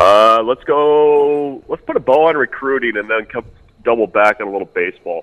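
Heard in a dry, close sound with no echo, a man with an unremarkable speaking voice talks at medium pitch with ordinary pitch variation. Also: moderate pace. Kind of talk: casual chat.

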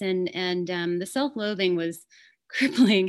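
An ordinary speaking voice belongs to a woman with an American accent, medium pitch and ordinary pitch variation. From California, Fresno area. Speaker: woodworker and artist. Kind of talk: interview.

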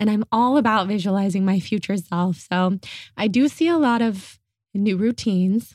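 A woman speaks at a moderate pace in a normal speaking voice with medium pitch and ordinary pitch variation. Her loudness stays very even, and the sound is dry and close with no echo. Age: 30s. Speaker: podcast host and content creator. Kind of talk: casual chat.

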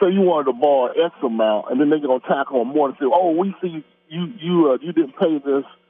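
A man speaks in a normal speaking voice at a fairly high pitch. He moves at a fairly quick pace with ordinary pitch variation. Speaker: caller. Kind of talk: casual chat. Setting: phone call.

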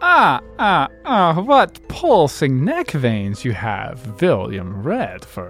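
Faint music plays in the background as someone in a put-on character voice speaks at a very slow pace. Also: woman, very deep, low pitch for a woman. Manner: theatrical.

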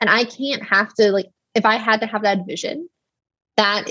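A somewhat breathy, fairly high-pitched woman's voice with an American accent. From Texas. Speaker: biotech startup founder. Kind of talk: interview.

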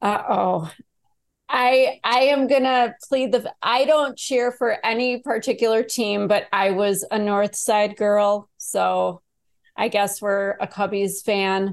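In a Midwestern US accent, a woman talks with ordinary pitch variation. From Chicago, US Midwest. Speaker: abuse survivor and author. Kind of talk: casual interview.

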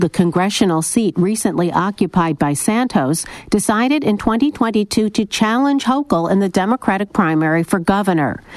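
A woman talks at a moderate pace and medium pitch with lively intonation, very even loudness and hardly any pauses. The sound is dry and close with no echo, with noticeable background noise. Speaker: radio reporter. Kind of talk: scripted news report.

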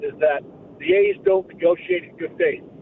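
A man's high voice with ordinary pitch variation, over noticeable background noise. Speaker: sports radio caller, longtime fan. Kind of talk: call-in fan opinion. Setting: phone call.

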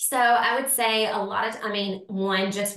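Over noticeable background noise, a woman speaks in a medium pitch with ordinary pitch variation. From Tennessee, Nashville. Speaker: lifestyle blogger and rental property owner. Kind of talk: casual interview chat.

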